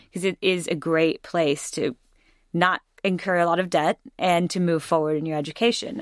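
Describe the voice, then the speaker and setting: An American-accented woman talks at a fairly quick pace in a fairly low pitch with ordinary pitch variation, an ordinary speaking voice. The recording is very clean, dry and close, with no echo and a silent background. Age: 20s. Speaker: Truman Scholar, former hair and makeup stylist. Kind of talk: interview conversation.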